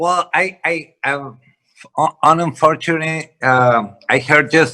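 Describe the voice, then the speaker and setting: A man with a Spanish accent talks at a very slow pace, his pitch fairly high with ordinary variation. His tone is bright and sharp. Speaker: real estate investor. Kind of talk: panel discussion. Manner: halting.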